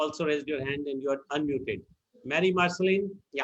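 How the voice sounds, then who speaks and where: A man with an Indian accent speaks at a fairly quick pace. His intonation stays fairly even. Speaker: meeting moderator. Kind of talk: online meeting moderation. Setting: video call.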